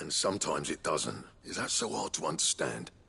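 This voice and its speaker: A man's put-on character voice, raspy and at a fairly quick pace. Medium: video game. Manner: gruff, blunt.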